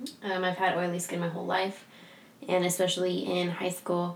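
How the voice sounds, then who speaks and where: A woman talks with a fairly low pitch. Noticeable background noise runs under her voice. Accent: American. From San Diego, California. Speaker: skincare podcast co-host, esthetician. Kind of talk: casual chat, podcast intro. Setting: studio at a spa. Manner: halting, forgets words.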